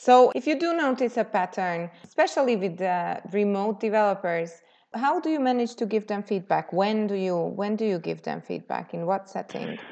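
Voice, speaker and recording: A woman with an unremarkable speaking voice talks at a moderate pace, her pitch medium and her intonation lively. The background is quiet. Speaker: podcast host. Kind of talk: interview.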